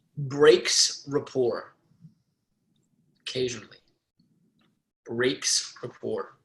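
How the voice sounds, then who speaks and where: A very slow-talking man, long pauses coming often. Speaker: sales team trainer. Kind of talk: sales training session. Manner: loud.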